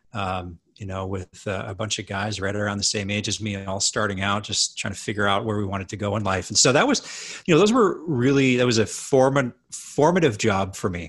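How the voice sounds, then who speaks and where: A man with a western Canadian accent talks at a fairly quick pace, with hardly any pauses. His pitch is fairly low, with ordinary variation. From Canada (Edmonton, Alberta). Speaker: hotel management consultant. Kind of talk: casual chat.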